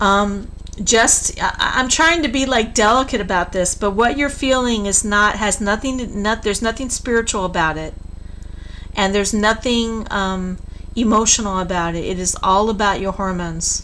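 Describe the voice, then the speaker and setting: Amid noticeable background noise and audible room echo, a woman talks at a moderate pace with a fairly high pitch and ordinary pitch variation. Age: 60s. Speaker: tarot reader. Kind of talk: live stream tarot reading. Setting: live stream at home computer. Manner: blunt, straight-talking.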